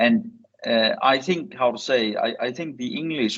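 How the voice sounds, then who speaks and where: Speaking with a Danish accent, the voice shows very wide pitch swings. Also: man. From Denmark. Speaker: academic speaker on science diplomacy. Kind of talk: seminar presentation. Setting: online seminar via video call. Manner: hesitant with frequent fillers.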